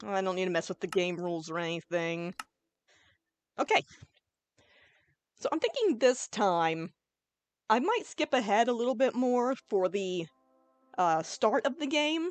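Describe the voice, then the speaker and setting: Loud and at a fairly slow pace, a woman speaks at medium pitch with very wide pitch swings and long, frequent pauses, the sound dry and close with no echo. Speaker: gaming YouTuber. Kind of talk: let's play commentary. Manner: casual, chill.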